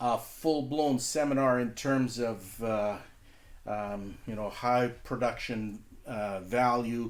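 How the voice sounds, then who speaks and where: A man speaks very slowly, at a medium pitch, with a Canadian accent. His intonation stays fairly even. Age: 60s. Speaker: podcast host, trucker tax accountant. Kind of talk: casual podcast monologue. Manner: hesitant, many fillers.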